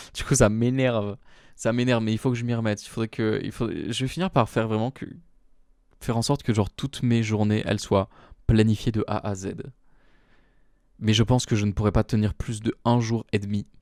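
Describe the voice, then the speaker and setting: A man pauses long and often, with fairly even intonation. The sound is dry and close with no echo, in a very clean recording with a silent background. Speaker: solo podcaster. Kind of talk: casual monologue. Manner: hesitant, many fillers.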